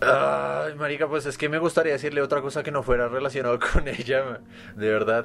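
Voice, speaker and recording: A man speaks at a fairly quick pace and medium pitch with fairly even intonation. It is a plain, everyday voice. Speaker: podcast co-host. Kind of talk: casual chat.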